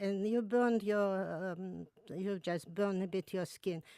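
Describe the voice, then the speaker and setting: A woman's medium-pitched voice with a dark, mellow tone and ordinary pitch variation, in a dry, close sound with no echo and a very clean recording over a silent background. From Russia (Moscow), childhood partly in Georgia. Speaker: author of home remedy books. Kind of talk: radio interview. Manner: halting, with fillers and restarts.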